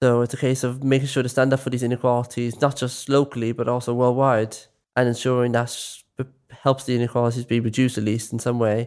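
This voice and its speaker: With a Dublin accent, the speaker talks at a very fast pace in a monotone, flat intonation. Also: man, medium pitch for a man. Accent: Dublin Irish. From West Dublin, Ireland. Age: young. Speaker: youth volunteer. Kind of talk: casual chat.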